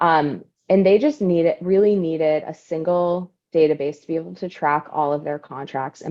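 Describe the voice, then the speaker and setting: A woman's very deep, low voice at a fairly quick pace, with ordinary pitch variation. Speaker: data strategy director at a health analytics firm. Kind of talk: webinar presentation. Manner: fast.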